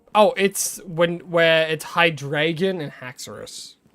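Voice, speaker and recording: An American accent marks this man's fairly high-pitched voice. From Australia. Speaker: gaming streamer. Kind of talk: live gaming stream chat. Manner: casual, chatty.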